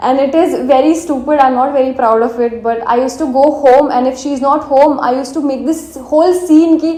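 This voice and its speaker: A woman with a strong Indian accent speaks at a high pitch with fairly even intonation and hardly any pauses, with audible room echo and noticeable background noise. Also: fairly quick pace. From India, Marathi-speaking. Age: 20s. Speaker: vlogger. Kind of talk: casual personal vlog, English mixed with Hindi. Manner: soft-spoken; casual with fillers.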